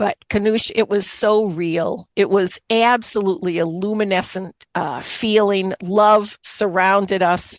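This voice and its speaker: Against a quiet background, a woman at a medium pitch talks at a fairly slow pace with hardly any pauses, in a dry, close sound with no echo. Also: fairly even intonation. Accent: Boston. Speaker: author, occupational therapist and Reiki master. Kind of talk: interview testimony.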